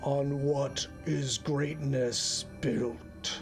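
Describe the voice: A man uses a gravelly, put-on character voice at a fairly high pitch. Loud music plays in the background.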